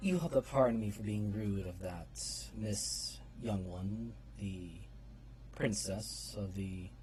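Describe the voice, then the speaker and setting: Using a put-on character voice with very deep, low pitch, a man speaks fairly slowly with long, frequent pauses over clear background noise. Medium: actual play. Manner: formal, courtly.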